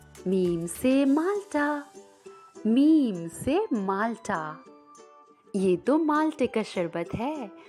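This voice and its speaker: Music behind a woman's fairly high voice with very wide pitch swings. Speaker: voice over and dubbing artist. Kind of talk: children's educational lesson.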